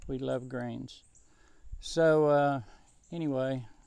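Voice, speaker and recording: With a Southern US accent, a man speaks at a very slow pace in a dark, mellow tone with fairly even intonation. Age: 70s. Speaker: home gardener and musician. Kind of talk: casual vlog tutorial. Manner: casual, rambling with fillers.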